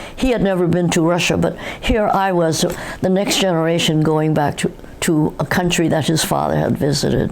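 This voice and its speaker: With an American accent, a woman speaks in a fairly low pitch amid audible room echo and noticeable background noise. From New York City. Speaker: interviewee, third-generation Korean American. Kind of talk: oral history interview. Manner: halting.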